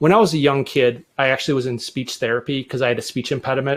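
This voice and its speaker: Speaking very fast in an American accent, a man keeps his medium-pitched voice at fairly even intonation. The recording is very clean, with a silent background. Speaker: tech presenter and podcaster. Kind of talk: tech talk presentation. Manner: casual, conversational.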